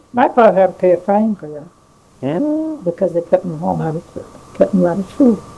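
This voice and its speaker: Over noticeable background noise, a woman speaks at a fairly quick pace. Her medium pitch moves in very wide swings. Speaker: grandmother telling family stories. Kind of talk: casual conversation, reminiscing. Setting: home recording on mini-cassette, restored. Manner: rambling.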